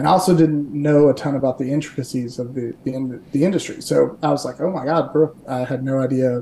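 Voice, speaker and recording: Talking at a fairly quick pace with hardly any pauses, a man uses a dark, mellow tone, fairly high pitch and fairly even intonation. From Kentucky. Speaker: startup founder and CEO. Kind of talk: casual interview.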